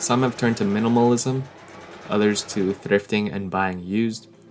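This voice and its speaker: A man with a fairly low pitch talks at a moderate pace with fairly even intonation over noticeable background noise. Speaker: fashion design vlogger. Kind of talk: scripted video essay. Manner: monotone.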